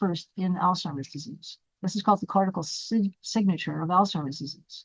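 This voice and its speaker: In a dry, close sound with no echo, a woman talks fairly quickly at medium pitch, somewhat breathy, with ordinary pitch variation. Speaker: neurologist and brain researcher. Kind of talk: lecture. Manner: fast.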